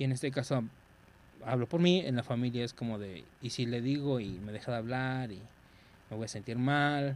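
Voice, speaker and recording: In a Mexican accent, a man with a medium-pitched voice speaks at a moderate pace with ordinary pitch variation. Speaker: podcast co-host. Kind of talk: casual chat.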